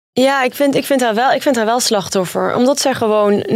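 A woman talks at a fairly quick pace with a fairly high pitch. She has a normal speaking voice with ordinary pitch variation. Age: 30s. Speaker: journalist, reality TV expert. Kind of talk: casual chat.

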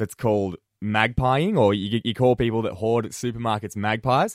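In a dry, close recording with no echo, very clean with a silent background, a man with an Australian accent speaks at a moderate pace and medium pitch. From Australia, central west New South Wales. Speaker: radio host. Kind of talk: radio talk show. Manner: casual.

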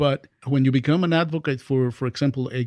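The speaker has a Spanish accent, with a dry, close sound, no echo and a quiet background. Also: man. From Dominican Republic. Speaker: professor. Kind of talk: interview conversation. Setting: studio.

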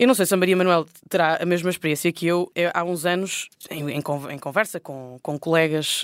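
With an ordinary speaking voice, a woman talks at a moderate pace in a fairly low pitch with ordinary pitch variation, the sound dry and close with no echo. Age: 30s. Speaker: politician. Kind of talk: panel discussion. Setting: recorded on location at parliament.

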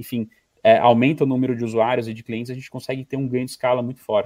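Here a man talks at a very fast pace with medium pitch. The sound is dry and close, with no echo. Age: 30s. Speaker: streaming company representative. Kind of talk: casual interview.

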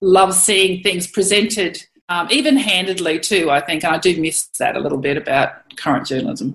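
A woman with a rural Australian accent speaks at a moderate pace with lively intonation. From Queensland, Australia (Monto, North Burnett). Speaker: cattle producer and former photojournalist. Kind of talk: interview. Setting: at home, remote interview.

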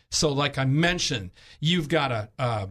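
Lively intonation runs through an unremarkable speaking voice. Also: man. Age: 60s. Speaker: health insurance agent. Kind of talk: radio interview.

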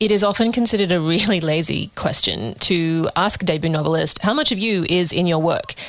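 In an Australian accent, a woman speaks at a moderate pace. Her pitch is fairly low. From Sydney, Australia. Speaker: podcast co-host. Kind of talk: interview.

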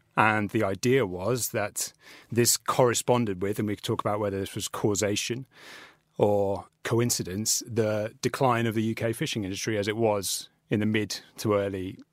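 On a very clean recording with a silent background, a man has an ordinary speaking voice, a fairly low pitch, fairly even intonation and a moderate pace. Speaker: trade reporter. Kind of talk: interview. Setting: studio.

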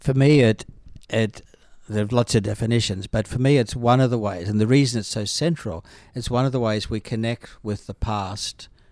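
A man with an Australian accent and a medium pitch talks at a moderate pace with fairly even intonation, in a very clean recording with a silent background. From Australia, northern New South Wales. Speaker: biblical scholar and priest. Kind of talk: casual discussion.

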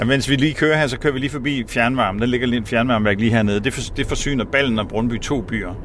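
The delivery comes at a very fast pace with ordinary pitch variation. There is noticeable background noise. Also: man. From Denmark, Samsø island. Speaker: director of energy academy, climate activist. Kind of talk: casual interview. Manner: halting, repeats words.

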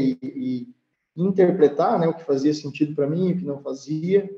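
With music in the background, a man speaks at a fairly slow pace in a fairly high pitch with ordinary pitch variation. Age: 30s. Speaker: food company CEO. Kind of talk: interview.

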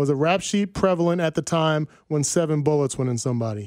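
A man with an American accent has a normal speaking voice, fairly high in pitch with ordinary pitch variation. The recording is very clean, with a silent background and a dry, close sound with no echo. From New Jersey, near New York City. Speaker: sports podcast host. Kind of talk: casual sports talk chat. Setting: studio.

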